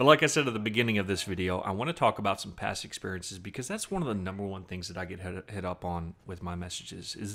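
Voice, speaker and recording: Speaking very fast with a slight Southern US accent, a man comes through on a very clean recording with a silent background. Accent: slight Southern twang. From US South, Southern Virginia. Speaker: gaming commentator, military veteran. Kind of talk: gameplay commentary with personal story. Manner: casual, hesitant with fillers.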